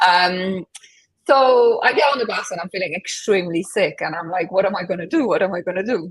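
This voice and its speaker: A woman with a Polish accent, medium pitch, ordinary pitch variation and a fairly quick pace. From Poland. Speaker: transformation coach. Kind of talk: interview.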